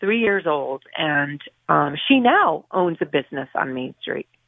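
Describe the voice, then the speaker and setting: In an unremarkable speaking voice, a woman talks fairly slowly with lively intonation. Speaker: barber shop owner. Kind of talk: casual radio interview.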